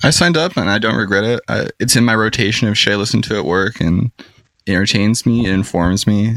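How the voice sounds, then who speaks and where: A man with an American accent has a plain, everyday voice, a fairly low pitch and ordinary pitch variation. He talks at a fairly quick pace with very even loudness, and the sound is dry and close with no echo. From Seattle area, US Pacific Northwest. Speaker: podcast guest, social media poster. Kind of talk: casual chat. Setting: on a boat.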